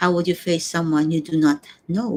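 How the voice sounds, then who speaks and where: A woman with a Filipino accent, speaking at a moderate pace. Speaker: vlogger and stage show producer. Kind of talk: personal reflection livestream. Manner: halting.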